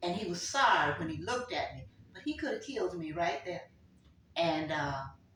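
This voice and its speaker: At a moderate pace, a woman speaks with big swings in loudness amid audible room echo. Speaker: grandmother sharing life stories. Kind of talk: family oral history interview.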